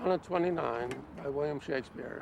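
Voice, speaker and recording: Lively intonation and vocal fry in an American accent, at a fairly slow pace. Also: man. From Boston, United States. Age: 80s+. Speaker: retired anthropologist.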